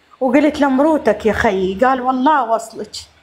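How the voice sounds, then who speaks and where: This woman has a high pitch, ordinary pitch variation and a moderate pace. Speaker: caller asking for help. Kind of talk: emotional appeal on live stream. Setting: live stream.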